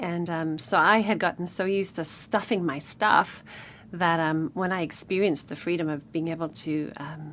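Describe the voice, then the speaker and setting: A woman speaks with a southern African accent and a fairly low pitch. Her intonation stays fairly even. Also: moderate pace. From Namibia. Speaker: author. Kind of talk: radio interview. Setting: studio.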